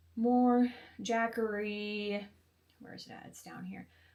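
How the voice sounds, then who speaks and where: A soft-spoken woman. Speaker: RV lifestyle vlogger. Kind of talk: tutorial. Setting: grandmother's home office. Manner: fast.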